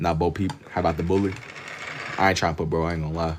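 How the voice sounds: A man speaks fast in a low voice. His pitch moves very little.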